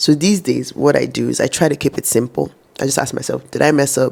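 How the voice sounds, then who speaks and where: Her voice sits very deep and low for a woman, with vocal fry running through it. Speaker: vlogger. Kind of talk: personal reflection talk to camera. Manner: conversational.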